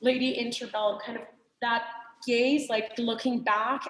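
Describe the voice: A woman with a non-native accent speaks in a fairly high, fairly bright voice with fairly even intonation and audible room echo. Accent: foreign.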